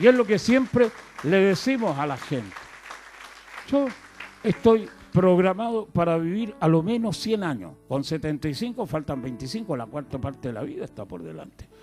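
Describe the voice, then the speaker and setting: Over crowd noise in the background, a man speaks at a high pitch with very wide pitch swings. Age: 70s. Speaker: itinerant preacher. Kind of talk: sermon.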